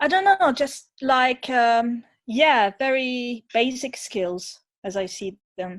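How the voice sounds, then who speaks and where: Someone with a non-native accent speaks at a very slow pace with lively intonation. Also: woman, high pitch for a woman. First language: not English. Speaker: museum diversity campaigner. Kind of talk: panel discussion. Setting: video call.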